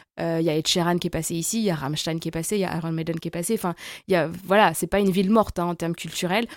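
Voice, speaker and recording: A woman talks at a very fast pace with ordinary pitch variation, in a very clean recording with a silent background. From France, La Rochelle and Paris region. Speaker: expat guest, communications professional. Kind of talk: interview. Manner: hesitant with many fillers.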